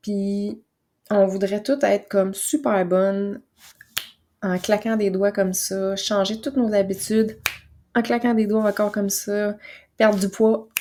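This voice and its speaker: A woman speaks at a fairly slow pace in a Quebec accent, leaving long, frequent pauses. Her voice sits at a medium pitch with a dark, mellow tone. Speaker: naturopath and podcast host. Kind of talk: casual podcast monologue. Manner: soft, calm; hesitant with fillers.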